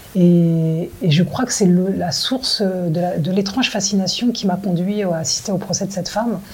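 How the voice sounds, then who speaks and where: With noticeable background noise behind her, a woman speaks at a fairly slow pace with hardly any pauses and ordinary pitch variation. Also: medium pitch for a woman. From France. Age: 40s. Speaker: film director. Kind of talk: interview. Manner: halting.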